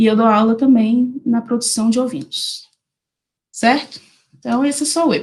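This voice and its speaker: Speaking at a fairly slow pace, a woman has a fairly high pitch and a somewhat breathy voice. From Brazil, Minas Gerais (Diamantina, Jequitinhonha valley). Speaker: animal science researcher and lecturer. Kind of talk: online lecture. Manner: casual, informal.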